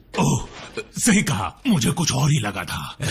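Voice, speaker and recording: A man's put-on character voice at a medium pitch and a moderate pace. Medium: fan dub.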